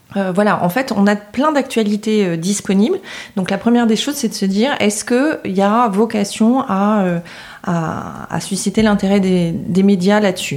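In an ordinary speaking voice, a woman talks at a fairly slow pace and a medium pitch, with ordinary pitch variation and very even loudness. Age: 40s. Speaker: public relations agency founder. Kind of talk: podcast interview.

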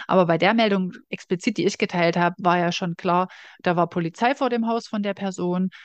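In an unremarkable speaking voice, a woman speaks at a fairly low pitch and a moderate pace with fairly even intonation, in a dry, close sound with no echo against a quiet background. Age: 30s. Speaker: podcast co-host. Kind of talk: casual chat.

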